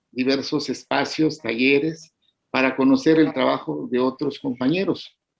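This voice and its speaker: A man's lively intonation in an Oaxacan accent. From Mexico, Oaxaca Isthmus (Zapotec region). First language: Zapotec (speaking Spanish). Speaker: poet and educator. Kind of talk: interview. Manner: halting, many fillers.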